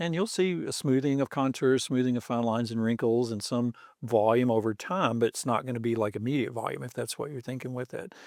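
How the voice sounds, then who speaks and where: A man talks in a normal speaking voice at medium pitch, with ordinary pitch variation. His pace is fairly quick, with hardly any pauses. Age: 60s. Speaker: doctor. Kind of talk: interview. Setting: studio.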